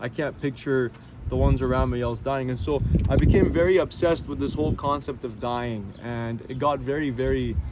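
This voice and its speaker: A man talks at a fairly quick pace. Noticeable background noise runs under his speech. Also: medium pitch for a man, ordinary pitch variation. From Syria, then Canada. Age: 20s. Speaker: interviewee sharing conversion story. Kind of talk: personal testimony. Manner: casual, with fillers and repetitions.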